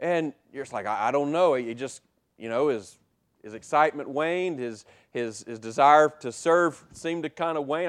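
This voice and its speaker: Against a quiet background, a man speaks in a normal speaking voice at a medium pitch with lively intonation. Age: 40s. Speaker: pastor. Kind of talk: sermon. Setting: church.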